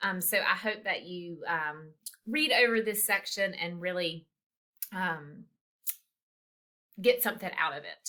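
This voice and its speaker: A woman speaks at a fairly slow pace with long, frequent pauses. Her medium pitch has ordinary variation, and her tone is bright and sharp. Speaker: college instructor. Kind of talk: recorded lecture. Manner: casual, many filler ums.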